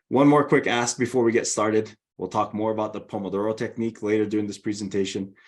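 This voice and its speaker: With a Hawaiian accent, a man speaks at a very fast pace in a fairly low pitch. His intonation is fairly even, and the background is quiet. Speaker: learning and development director. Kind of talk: webinar presentation.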